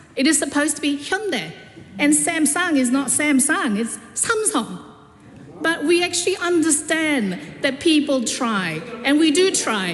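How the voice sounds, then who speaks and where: Through audible room echo and noticeable background noise, a woman with a Korean accent speaks at a fairly slow pace in a high pitch, with lively intonation and very even loudness. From South Korea. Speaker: politician. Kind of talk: parliamentary speech. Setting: parliament chamber. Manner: halting.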